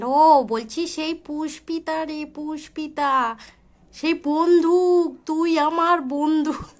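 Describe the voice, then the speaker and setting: A woman uses a put-on character voice with an extremely high pitch. She speaks very slowly with fairly even intonation. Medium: game stream. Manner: playful, insistent.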